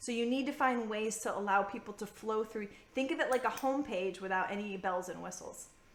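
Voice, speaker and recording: A woman speaks fairly quickly in a fairly high pitch with an animated tone and ordinary pitch variation. Noticeable background noise sits behind her. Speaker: freelance business coach. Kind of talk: recorded live masterclass. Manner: fast.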